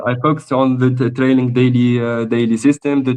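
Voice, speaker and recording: The speaker is a man with a medium pitch. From Tunisia. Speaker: trader. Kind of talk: interview. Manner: halting, many hesitations.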